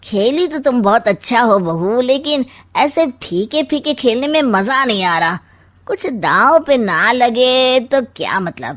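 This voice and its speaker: In a cartoonish character voice, a woman speaks fairly slowly at a high pitch over a silent background in a very clean recording. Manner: sly, sarcastic.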